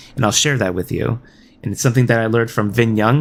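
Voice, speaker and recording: The man has a normal speaking voice, medium in pitch, with ordinary pitch variation. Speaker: gaming streamer. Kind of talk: livestream chat. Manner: many filler words.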